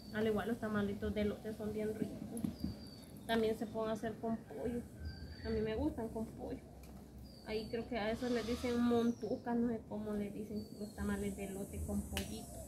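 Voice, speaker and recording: With noticeable background noise behind her, a woman speaks in a monotone, flat intonation, leaving long, frequent pauses. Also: moderate pace. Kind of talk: casual cooking vlog chat. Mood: relaxed, laughing. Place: garden. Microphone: camera far.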